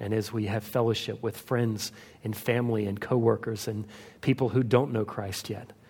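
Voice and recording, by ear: A passage is being read aloud in a natural voice.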